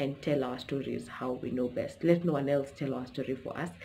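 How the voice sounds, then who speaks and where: A woman's very deep, low voice with ordinary pitch variation and noticeable background noise. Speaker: YouTuber. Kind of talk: casual vlog talk to camera. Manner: fast.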